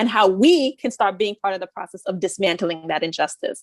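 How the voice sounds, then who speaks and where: A woman with an American accent talks at a fairly quick pace. She has a normal speaking voice at medium pitch, with a dry, close sound and no echo. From US, Haitian family. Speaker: architect and activist. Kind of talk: panel discussion.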